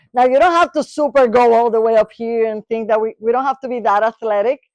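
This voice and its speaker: The voice has an animated tone and a Spanish accent. The recording is very clean and dry, close with no echo and a silent background. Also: woman. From Latin America. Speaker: neuropsychologist. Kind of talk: lecture.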